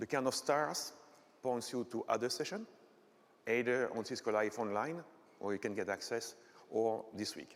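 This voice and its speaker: A man speaks with ordinary pitch variation. He leaves long, frequent pauses. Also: medium pitch for a man, moderate pace. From Belgium, French-speaking part. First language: French. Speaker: technical conference speaker; conference presenter. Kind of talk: lecture. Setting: stage with audience. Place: hall.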